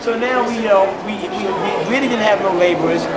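Loud background noise sits behind a man talking at a fairly quick pace. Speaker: street preacher. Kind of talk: interview answer. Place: station. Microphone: phone near.

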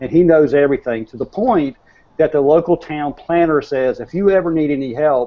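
The speaker has a North Carolina accent and talks at a fairly quick pace. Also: man. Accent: Southern US (North Carolina). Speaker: real estate marketing consultant; guest. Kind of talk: panel discussion. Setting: video call. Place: office. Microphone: earbuds.

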